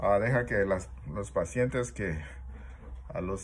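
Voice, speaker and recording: A man speaking at a very slow pace. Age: 60s. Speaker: multiple sclerosis patient vlogger. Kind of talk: personal video diary; casual vlog chat. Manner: halting, many fillers. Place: home room. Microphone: phone near.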